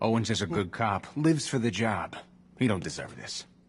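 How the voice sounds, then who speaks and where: Putting on a gruff character voice, a man speaks at a medium pitch and a moderate pace with lively intonation. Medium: video game. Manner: gruff, colloquial.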